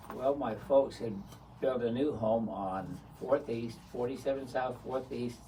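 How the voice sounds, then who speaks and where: With audible room echo, a man of medium pitch speaks at a fairly slow pace and with fairly even intonation. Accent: American. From US West, St. George, Utah. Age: 70s. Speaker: retired businessman, lifelong local. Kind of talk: interview, reminiscing.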